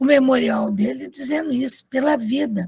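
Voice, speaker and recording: Very slow speech in a dry, close sound with no echo. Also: woman. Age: 70s. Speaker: academy member introducing speaker. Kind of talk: formal introduction of a lecturer. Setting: video call from her bedroom. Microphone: too far from the mic at first.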